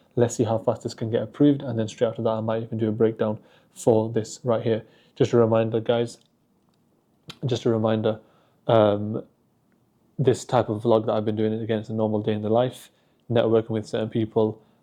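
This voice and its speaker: A man with a dark, mellow tone at medium pitch talks at a fairly quick pace in a monotone, flat intonation, with long, frequent pauses. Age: 20s. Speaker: forex trader vlogger. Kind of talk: vlog and trading tutorial. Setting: apartment at early morning. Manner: casual, filler-heavy.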